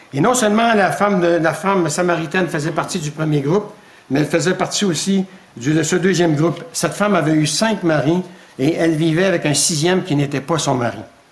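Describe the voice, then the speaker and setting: Against noticeable background noise, a man with a high voice talks at a fairly quick pace, with ordinary pitch variation and very even loudness. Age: 70s. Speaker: preacher. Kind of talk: sermon.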